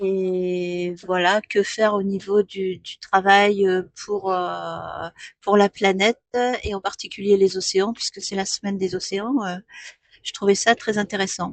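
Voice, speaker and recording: Against a dry, close sound with no echo, a woman speaks very slowly at a medium pitch in a monotone, flat intonation, with big swings in loudness. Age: 60s. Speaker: postal customer adviser. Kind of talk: radio interview. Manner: hesitant, many fillers.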